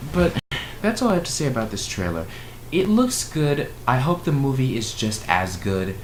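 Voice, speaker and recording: A man at medium pitch speaks with very wide pitch swings. Audible room echo and noticeable background noise come through. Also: moderate pace. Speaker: YouTuber reviewing movie trailers. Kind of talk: casual vlog reaction commentary. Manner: rambling, with filler words.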